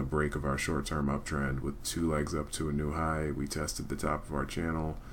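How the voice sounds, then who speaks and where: Noticeable background noise fills the clip. Through it comes a man's very deep, low voice. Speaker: day trader. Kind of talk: live trading commentary over screen. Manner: monotone.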